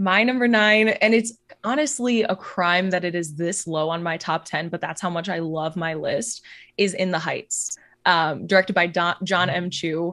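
A woman has an ordinary speaking voice at a medium pitch. She keeps a moderate pace with ordinary pitch variation. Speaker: podcast co-host, film fan. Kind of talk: casual chat.

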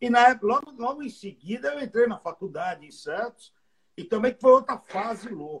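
Animated and lively in intonation, a man speaks at an extremely high pitch. He keeps a moderate pace, with big swings in loudness. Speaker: comedian. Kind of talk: casual chat.

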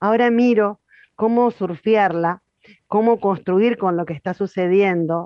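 A woman's intonation is lively. Her pace is fairly slow. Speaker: spiritual facilitator. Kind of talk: guided meditation.

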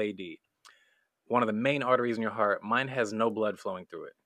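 Against a quiet background, a man's medium-pitched voice has a bright, sharp tone. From small rural town. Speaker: comedian and cartoonist. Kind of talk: casual chat.

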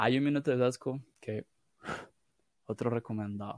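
A man's medium-pitched voice with fairly even intonation, in a dry, close sound with no echo. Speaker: podcast host. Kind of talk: casual chat.

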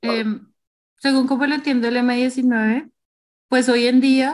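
The delivery is very slow. The intonation stays monotone and flat. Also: woman. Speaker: podcast co-host. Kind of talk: casual podcast discussion.

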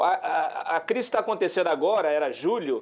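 A man is speaking. His pitch swings very widely. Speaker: journalist and news site editor. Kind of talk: talk show discussion. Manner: halting with many fillers.

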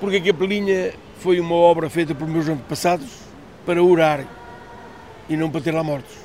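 The pace is fairly quick, broken by long, frequent pauses. Intonation stays fairly even over noticeable background noise. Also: man, high pitch for a man. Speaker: fisherman. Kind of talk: interview testimony.

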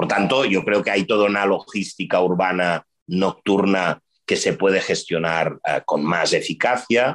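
The delivery is a normal speaking voice at a fairly slow pace with ordinary pitch variation, in a dry, close sound with no echo. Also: man, fairly low pitch for a man. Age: 50s. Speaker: urban development executive. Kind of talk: interview.

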